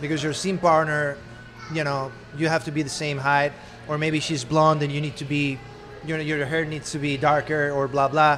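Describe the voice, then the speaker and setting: A man's fairly high-pitched voice with a Spanish accent, over noticeable background noise. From Spain. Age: 30s. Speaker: actor. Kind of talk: interview.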